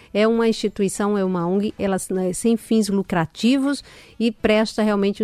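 The recording is very clean, with a silent background and a dry, close sound with no echo, and the speech moves at a moderate pace with ordinary pitch variation. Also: woman. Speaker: radio health show host. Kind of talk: radio interview.

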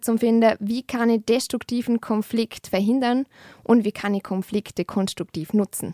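In a plain, everyday voice, the speaker talks at a moderate pace with fairly even intonation, on a very clean recording with a silent background and a dry, close sound with no echo. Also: woman. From Austria, Vorarlberg (Lustenau). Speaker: peace and conflict researcher. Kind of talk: interview conversation.

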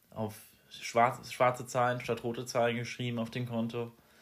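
A man with an unremarkable speaking voice talks at a moderate pace and medium pitch, in a very clean recording with a silent background. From Rhineland-Palatinate, Germany (near Mainz). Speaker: podcast host, political science student. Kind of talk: casual chat. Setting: home recording.

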